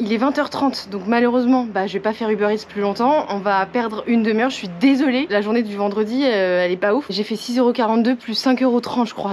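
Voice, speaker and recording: A woman talks fairly quickly at a fairly high pitch while noticeable background noise plays behind her. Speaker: food delivery courier and vlogger. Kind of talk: casual vlog narration. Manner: animated; hushed speech in stairwell.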